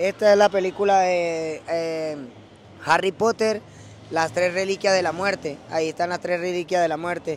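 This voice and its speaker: In a Venezuelan accent, a man with a high pitch speaks at a fairly slow pace in monotone, flat intonation, the sound dry with no echo and light background noise. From Venezuela (Caracas, Valencia). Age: 20s. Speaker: rapper; interviewee. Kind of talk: casual interview. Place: street. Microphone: handheld.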